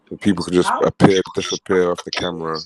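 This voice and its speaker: In a British accent, a man speaks at a fairly quick pace with a very deep, low pitch. His intonation is monotone and flat, and the sound is dry and close with no echo. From Britain. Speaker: caller on livestream panel. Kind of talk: casual chat.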